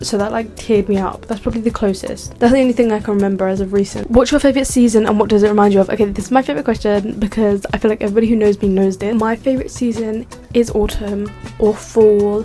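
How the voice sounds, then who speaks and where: Over noticeable background noise, a woman with a British accent speaks at a very fast pace in a fairly high pitch. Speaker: YouTuber. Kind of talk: casual chat. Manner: animated.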